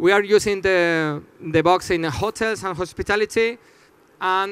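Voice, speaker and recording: A man speaks at a high pitch with a non-native accent. His pace is moderate and his intonation fairly even. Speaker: startup founder presenting. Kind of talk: audience Q&A; conference presentation. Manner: halting, many fillers.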